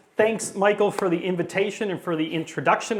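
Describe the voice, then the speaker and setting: This man speaks with an American accent at a high pitch. Noticeable background noise and audible room echo fill the recording. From US Midwest, Chicago area. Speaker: paleontologist, professor. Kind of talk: public lecture. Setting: talk in front of a live audience. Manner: casual, conversational; fast-paced.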